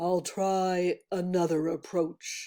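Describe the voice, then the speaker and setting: A put-on character voice holds a middle pitch with monotone, flat intonation. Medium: read story. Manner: sly, smooth-talking.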